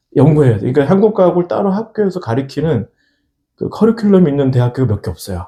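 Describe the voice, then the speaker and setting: Talking very fast at a fairly high pitch, a man swings his pitch very widely, somewhat breathy and with a dark, mellow tone. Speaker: opera singer and church choir conductor. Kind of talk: interview. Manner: halting, with fillers.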